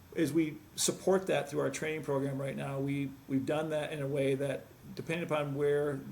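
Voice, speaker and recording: A man speaks in a flat, monotone way at a fairly high pitch. There is audible echo from the room. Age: 60s. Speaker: medical device sales executive. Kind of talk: interview. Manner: halting.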